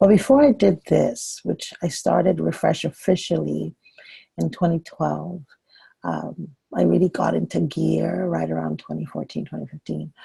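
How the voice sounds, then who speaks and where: A woman talks at a moderate pace in a dry, close recording with no echo. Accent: Nigerian. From Nigeria. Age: 40s. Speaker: women's leadership coach, former pharmacist. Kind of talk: talk to an online group meetup. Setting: conference call.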